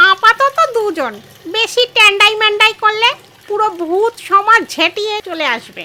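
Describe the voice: Using a put-on character voice, a woman talks at an extremely high pitch in a raised, projected voice at a fairly slow pace.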